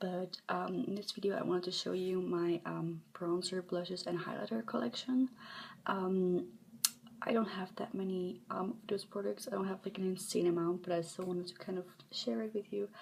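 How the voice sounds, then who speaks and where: A soft-spoken woman at a moderate pace, with ordinary pitch variation. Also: medium pitch for a woman. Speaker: ASMR content creator. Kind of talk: soft-spoken ASMR show-and-tell. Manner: hesitant, many filler ums.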